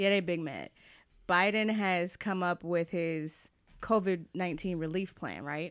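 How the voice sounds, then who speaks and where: The speaker's tone is animated, captured on a very clean recording against a silent background. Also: woman, fairly low pitch for a woman. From Atlanta, US South. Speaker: podcast co-host. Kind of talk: casual chat.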